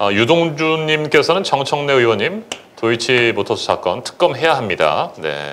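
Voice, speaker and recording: A man's fairly high voice with lively intonation, a moderate pace and light background noise. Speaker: live show host, former reporter-turned news anchor. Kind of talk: live talk show. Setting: studio. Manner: formal. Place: studio. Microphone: lapel.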